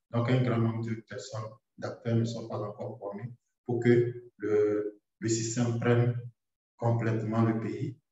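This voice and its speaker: A man speaks at a very slow pace in a medium-pitched, somewhat breathy voice. His intonation is flat and monotone. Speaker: doctor. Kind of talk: webinar presentation.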